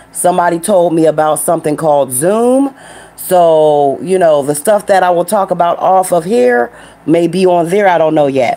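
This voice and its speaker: Over noticeable background noise, a woman speaks at a fairly low pitch with ordinary pitch variation. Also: moderate pace, very even loudness. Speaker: truck driver and live-stream host. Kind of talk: casual live stream chat. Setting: home studio live stream. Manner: loud.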